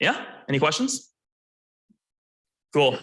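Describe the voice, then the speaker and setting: A loud man's voice with a bright, sharp tone at a fairly slow pace. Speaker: college esports team lead. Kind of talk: presentation at club meeting.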